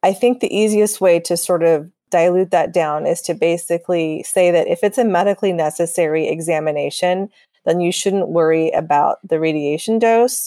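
A woman's dark, mellow tone at a fairly low pitch, moderate pace, ordinary pitch variation and very even loudness. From Texas. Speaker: radiologist. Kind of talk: interview. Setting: podcast.

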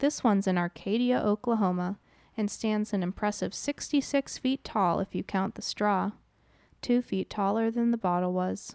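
A woman in a plain, everyday voice with an American accent, at medium pitch and a moderate pace, with ordinary pitch variation, a dry, close sound with no echo and a very clean recording with a silent background. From Wisconsin, US Midwest. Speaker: podcast host. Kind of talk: scripted narration.

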